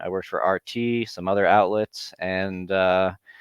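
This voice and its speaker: Using fairly even intonation at a moderate pace, a man with an American accent talks in a fairly low pitch. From Southern California (Santa Monica). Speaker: journalist and blogger. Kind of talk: casual interview chat.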